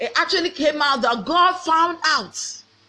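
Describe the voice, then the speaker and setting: Against a quiet background, a woman with a Ghanaian accent talks at a moderate pace in a bright, sharp, animated tone, her pitch swinging very widely. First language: Twi. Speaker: pastor. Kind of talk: sermon.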